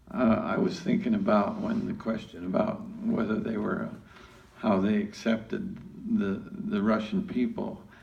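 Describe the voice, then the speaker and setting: Moderate pace, audible room echo and noticeable background noise. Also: man. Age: old. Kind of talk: group discussion.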